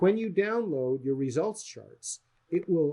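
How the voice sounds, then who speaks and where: Somewhat breathy and dark, mellow in tone, a man talks at a moderate pace with very wide pitch swings. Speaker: software developer demonstrating product. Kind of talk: software demo sales pitch. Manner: casual with fillers.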